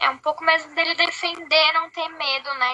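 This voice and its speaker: A woman's raised, projected voice carries a bright, sharp tone. She keeps a moderate pace and ordinary pitch variation. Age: 20s. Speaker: podcast co-host. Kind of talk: casual chat.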